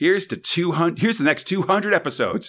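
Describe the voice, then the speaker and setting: With an American accent and a playful tone, a man speaks at a high pitch in a bright, sharp tone, using ordinary pitch variation. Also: very clean recording, silent background. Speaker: podcast host. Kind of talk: casual chat, comedic podcast banter. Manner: joking, playful.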